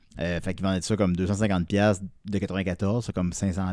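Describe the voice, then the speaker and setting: Here a man talks at a fairly slow pace with a Quebec accent. The recording is very clean, with a silent background. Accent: Québécois French. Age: 30s. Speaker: podcaster and vinyl collector. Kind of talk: casual chat.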